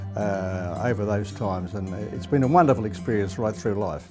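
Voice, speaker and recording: Fairly low male voice at a moderate pace, ordinary pitch variation, music playing behind. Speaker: retired race caller. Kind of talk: interview answer. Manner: fluent, reflective, enthusiastic.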